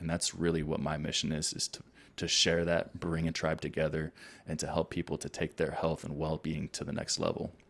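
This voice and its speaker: The recording is very clean with a silent background. A man speaks fairly quickly in a very deep, low pitch with monotone, flat intonation. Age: 30s. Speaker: physical therapist and coach. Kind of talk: casual chat.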